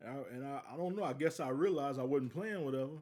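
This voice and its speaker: A man with an American accent, a dark, mellow tone and a fairly high pitch, ordinary pitch variation and a fairly quick pace. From US South, southwest Louisiana. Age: 40s. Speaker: podcast host. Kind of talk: casual solo podcast monologue. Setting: live stream. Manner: conversational, repetitive.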